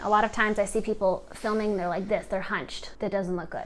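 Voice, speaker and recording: A woman's fairly high-pitched voice with ordinary pitch variation. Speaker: video coach. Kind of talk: tutorial. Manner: fast; animated.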